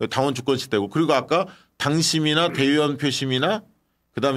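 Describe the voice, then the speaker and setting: Here a man talks in an animated tone. His voice is fairly high and his pace fairly quick. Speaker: political YouTube host. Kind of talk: political talk show. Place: studio. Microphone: studio mic.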